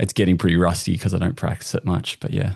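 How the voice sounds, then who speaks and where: Against a quiet background, a man with an Australian accent speaks at a very deep, low pitch. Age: 40s. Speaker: customer experience industry guest. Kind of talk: casual interview chat.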